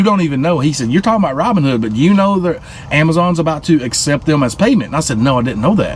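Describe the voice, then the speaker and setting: Over noticeable background noise, a man with a Southern US accent talks very fast, his high-pitched voice showing lively intonation. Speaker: truck driver and crypto vlogger. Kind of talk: casual vlog monologue. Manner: casual, halting with fillers.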